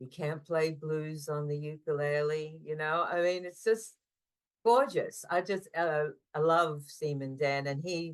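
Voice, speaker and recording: A woman with an Australian accent speaks at a fairly slow pace, her pitch very deep and low. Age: 60s. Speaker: ukulele player. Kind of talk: podcast interview.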